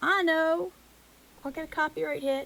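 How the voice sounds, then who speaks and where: With a slight Southern US accent, a woman uses an animated tone. Her pace is moderate, with noticeable background noise. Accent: slight southern US twang. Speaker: music reaction youtuber. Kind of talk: casual vlog chat to camera. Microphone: echoey mic.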